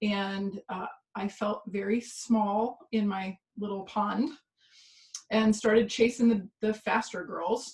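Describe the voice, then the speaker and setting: Somewhat breathy and fairly high in pitch, a woman with an American accent talks at a very slow pace with fairly even intonation. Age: 40s. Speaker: pain coach and former swimmer. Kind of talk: interview storytelling.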